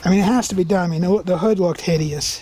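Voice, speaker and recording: Noticeable background noise runs under the clip. A man talks at a high pitch with fairly even intonation. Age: 60s. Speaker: car owner doing DIY project. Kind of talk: tutorial. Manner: casual, conversational.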